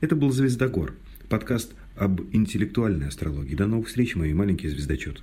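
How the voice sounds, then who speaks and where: Talking at a fairly quick pace, a man with a fairly low pitch makes very wide pitch swings, his dark, mellow tone carrying vocal fry. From Mordovia, Russia. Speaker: radio host. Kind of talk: casual chat.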